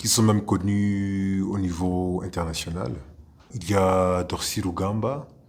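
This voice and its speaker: A man with a Rwandan accent, a very deep, low pitch and fairly even intonation, at a very slow pace, with audible room echo. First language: Kinyarwanda (speaking French). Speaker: actor, playwright and theatre director. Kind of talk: interview. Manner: halting, frequent hesitations.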